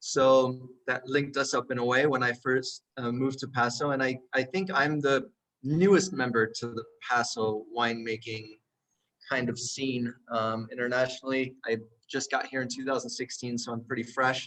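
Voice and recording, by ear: A man speaks at a moderate pace and medium pitch, his tone fairly bright and his intonation fairly even.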